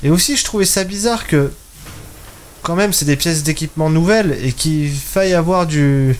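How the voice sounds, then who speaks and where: Moderate pace and fairly high pitch from a man with an ordinary speaking voice. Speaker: gaming YouTuber. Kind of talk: let's play commentary. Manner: casual, thinking aloud.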